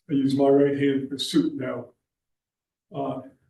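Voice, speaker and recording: A man with a fairly high voice and a dark, mellow tone talks at a fairly slow pace. Room echo is audible. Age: 80s+. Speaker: veteran engineer and STEM mentor. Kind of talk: Q&A after a conference talk.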